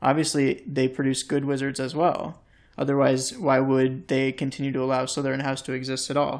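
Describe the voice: Text read aloud plainly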